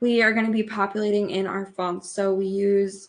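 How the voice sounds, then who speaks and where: Her pitch medium and her pace moderate, the woman has a normal speaking voice. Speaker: blogging coach. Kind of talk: tutorial. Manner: casual, filler-heavy.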